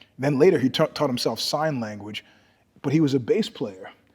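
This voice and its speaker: An American-accented man with a fairly high pitch speaks in an animated tone with lively intonation. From New York. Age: 60s. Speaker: martial artist and author. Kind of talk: podcast interview. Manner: animated storytelling.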